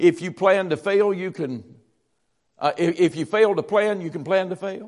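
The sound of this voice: A man with a high pitch, ordinary pitch variation and a moderate pace.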